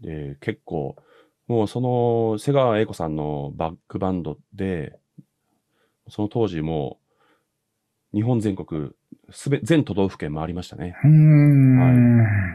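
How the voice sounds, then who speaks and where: A man at a very slow pace, fairly low in pitch with very wide pitch swings, a dark, mellow tone and long, frequent pauses against a quiet background. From Japan, Sado Island (Niigata); Niigata, Japan. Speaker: trumpet player; guest. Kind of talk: casual interview chat. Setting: video call. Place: home room. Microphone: video call.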